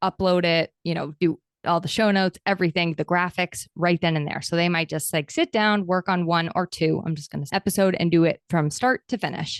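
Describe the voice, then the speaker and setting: An American accent at a fairly quick pace, with hardly any pauses and a dry, close sound with no echo. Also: woman. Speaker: podcast host and content coach. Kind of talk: interview. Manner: fast; high energy.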